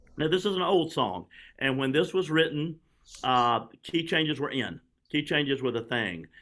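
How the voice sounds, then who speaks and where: A man with vocal fry, a fairly high pitch and a moderate pace. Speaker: songwriting teacher. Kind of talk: workshop tutorial. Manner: repeats words, halting.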